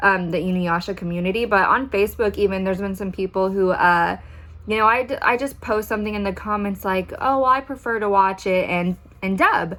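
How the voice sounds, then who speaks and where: A woman speaks at a fairly quick pace with a medium pitch and ordinary pitch variation. Her tone is bright and sharp, and the recording is very clean with a silent background. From Texas. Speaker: anime YouTuber. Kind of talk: casual vlog talk. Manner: soft-spoken; frequent ums, fillers.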